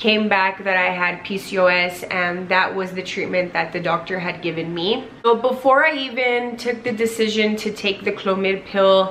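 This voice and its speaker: The speech moves at a fairly slow pace with ordinary pitch variation. Light background noise can be heard. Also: woman. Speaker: vlogger. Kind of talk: casual vlog chat. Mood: earnest, grateful. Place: home room. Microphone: camera far.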